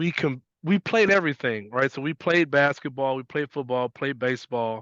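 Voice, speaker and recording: A man with an American accent speaks in an ordinary speaking voice at a fairly high pitch, with ordinary pitch variation and a moderate pace. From US Midwest, west side of Chicago. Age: 40s. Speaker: basketball coach. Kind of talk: interview conversation.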